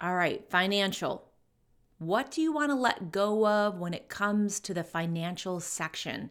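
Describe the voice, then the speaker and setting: On a very clean recording with a silent background, a woman speaks in a plain, everyday voice at a medium pitch. Her pace is fairly slow and her intonation lively. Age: 50s. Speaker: business and leadership coach. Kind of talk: solo podcast monologue.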